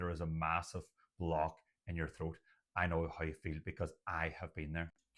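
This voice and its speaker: Speaking at a moderate pace, a man with an Irish accent has a very deep, low pitch. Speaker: doctor and stuttering coach. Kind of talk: talking-head video monologue. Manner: occasional repetitions and blocks.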